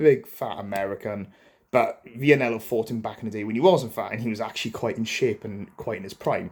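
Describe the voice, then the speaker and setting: On a very clean recording with a silent background, a man with a Welsh accent speaks at a moderate pace and medium pitch. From Wales, Swansea. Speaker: boxing commentator. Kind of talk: casual commentary to camera. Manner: conversational, filler-heavy.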